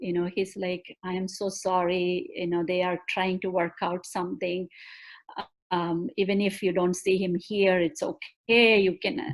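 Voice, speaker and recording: At a moderate pace, a woman speaks in a Keralite accent with a medium pitch. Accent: Indian (Malayali) accent, self-described bad. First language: Malayalam. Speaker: bereaved mother and justice advocate. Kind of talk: testimony. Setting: live stream video call. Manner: emotional, halting.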